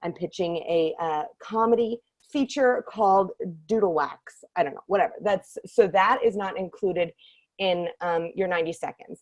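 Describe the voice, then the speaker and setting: The speaker sounds animated, with ordinary pitch variation, big swings in loudness and a dry, close sound with no echo. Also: woman, medium pitch for a woman. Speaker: workshop leader for screenwriters. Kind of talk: online workshop talk. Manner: very fast.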